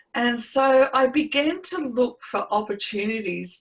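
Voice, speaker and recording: In an Australian accent, a woman is speaking. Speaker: trauma recovery coach. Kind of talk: interview testimony.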